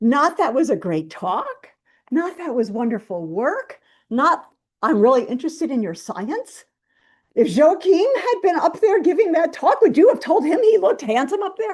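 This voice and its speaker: A woman's high-pitched voice with very wide pitch swings. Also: moderate pace. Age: 70s. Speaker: physician scientist and professor of pediatrics. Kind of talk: Q&A after a seminar talk. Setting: university seminar with audience.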